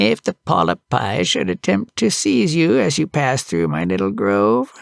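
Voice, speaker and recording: The recording is very clean with a silent background. A man uses a put-on character voice at a medium pitch and a moderate pace. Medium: read story.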